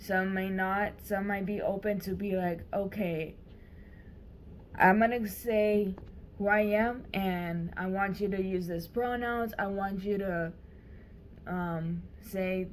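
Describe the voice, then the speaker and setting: Very slow and full of long, frequent pauses, a woman's speech sits at a medium pitch with fairly even intonation. Room echo is audible. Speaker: vlogger. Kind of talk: personal vlog monologue. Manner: hesitant, many fillers.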